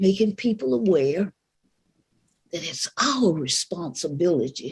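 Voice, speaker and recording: This woman, with an American accent, speaks at a fairly slow pace in a somewhat breathy voice. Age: 80s+. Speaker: civil rights activist. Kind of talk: speech to live audience.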